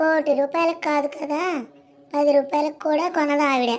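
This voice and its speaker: Here a woman uses a cartoonish character voice pitched high. She keeps to a moderate pace. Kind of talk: village comedy. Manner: cheeky, grumbling.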